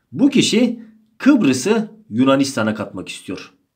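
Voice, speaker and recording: Audible room echo surrounds a man speaking at a moderate pace. His pitch swings very widely. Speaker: history teacher. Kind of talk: exam-prep lecture.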